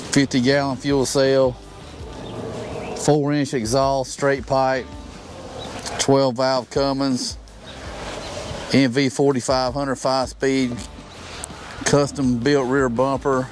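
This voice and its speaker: Speech comes at a very slow pace with long, frequent pauses and monotone, flat intonation. The sound is dry with no echo, with music in the background. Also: man. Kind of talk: casual show-and-tell description. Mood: relaxed, proud. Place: open country.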